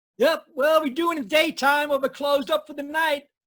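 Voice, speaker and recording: A put-on character voice, gruff and high-pitched, at a fairly quick pace. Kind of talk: 1940s radio acting. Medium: stage play. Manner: gruff, curt.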